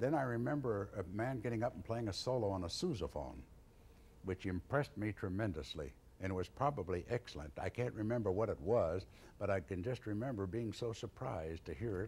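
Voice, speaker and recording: A man speaks fairly quickly in a fairly low, somewhat breathy voice with lively intonation. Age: 60s. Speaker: tuba player and teacher. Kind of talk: Q&A session at a conference.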